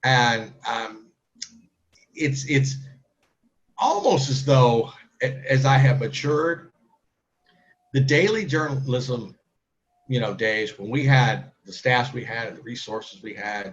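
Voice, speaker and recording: Pausing long and often, a man with a somewhat breathy voice at a medium pitch talks fairly slowly, with ordinary pitch variation and big swings in loudness. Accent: American. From US Midwest, St. Louis area (Kirkwood, Missouri). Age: 50s. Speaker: newspaper editor and TV panelist. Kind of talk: interview.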